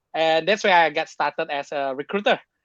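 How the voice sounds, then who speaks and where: At a moderate pace and with fairly even intonation, the voice sounds dry and close, with no echo. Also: man. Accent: Indonesian. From Indonesia, Jakarta. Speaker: tech sales professional. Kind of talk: podcast interview. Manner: halting, many fillers.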